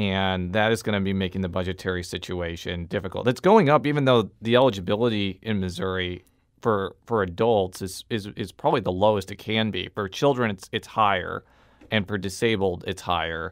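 An unremarkable speaking voice at a fairly quick pace against a quiet background. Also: man, fairly low pitch for a man, ordinary pitch variation. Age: 30s. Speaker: radio reporter and podcast host; radio reporter, podcast host. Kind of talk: interview. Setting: studio. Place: studio.

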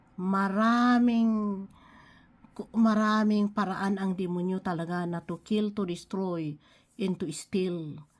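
A woman talks at a very slow pace in a medium pitch. Her intonation stays fairly even. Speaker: online devotional speaker. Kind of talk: devotional preaching. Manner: halting, with frequent fillers; code-switching Tagalog and English.

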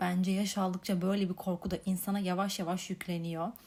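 Somewhat breathy, a woman's voice sits at a medium pitch. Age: 20s. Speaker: podcast host. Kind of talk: solo reflective monologue.

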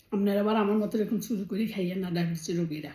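Dark and mellow in tone, a woman's voice comes across somewhat breathy. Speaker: family vlogger. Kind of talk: casual vlog monologue. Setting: bedroom at home. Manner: chatty, conversational.

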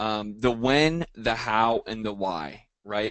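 The background is quiet as a man speaks. His sound is dry, with no echo. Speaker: real estate coach. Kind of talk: lecture. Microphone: video call.

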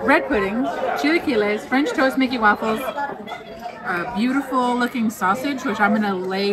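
With crowd noise in the background, a woman speaks with ordinary pitch variation. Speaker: food vlogger. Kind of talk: casual vlog chat. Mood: cheerful, relaxed. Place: cafe. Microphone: phone near.

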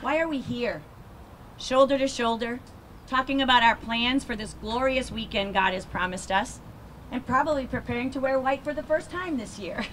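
An American accent marks this woman's high-pitched voice, which shows ordinary pitch variation. She speaks at a moderate pace against light background noise. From Massachusetts. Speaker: air force colonel and nurse; guest. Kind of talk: memorial speech; ceremonial speech. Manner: hesitant fillers. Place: street. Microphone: handheld.

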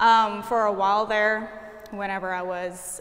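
A woman with an American accent speaks in a normal speaking voice, her medium pitch carried on fairly even intonation. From Kansas. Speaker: art student. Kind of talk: interview. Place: hall. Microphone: lapel.

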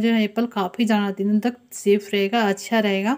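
The woman's intonation stays fairly even as she talks at a moderate pace, with a quiet background behind her. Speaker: home cooking tips creator. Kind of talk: tutorial.

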